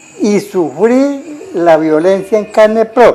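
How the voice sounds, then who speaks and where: Noticeable background noise is present throughout. Over it, a man's intonation stays lively. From Tolima, Colombia. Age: 70s. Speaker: violence survivor. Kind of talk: oral history interview. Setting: at his home.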